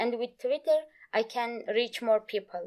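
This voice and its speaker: Speaking at a fairly slow pace with a Turkish accent, a woman uses a high voice with ordinary pitch variation. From Turkey. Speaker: Kurdish language teacher. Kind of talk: interview. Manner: halting.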